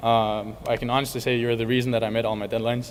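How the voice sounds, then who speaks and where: A man talks at a very fast pace. He has a Danish accent. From Denmark, Copenhagen suburbs. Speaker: college tennis player. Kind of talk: banquet speech.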